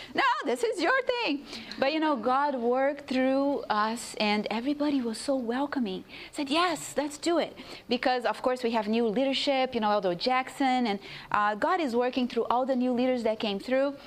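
Speaking with a Portuguese accent at a moderate pace, a woman uses a high pitch, ordinary pitch variation and very even loudness. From Brazil. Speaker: church health ministries director. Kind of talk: seminar presentation. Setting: conference room with live audience.

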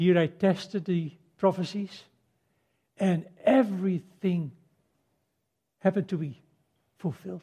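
This man talks at a fairly slow pace with a Dutch accent, his pitch high and his tone dark and mellow. He leaves long, frequent pauses, and his pitch varies in an ordinary way. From Netherlands. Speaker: preacher. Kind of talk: sermon.

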